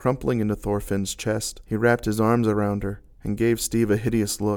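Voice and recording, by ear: The speaker is reading aloud in a natural voice. The delivery is all in that one voice.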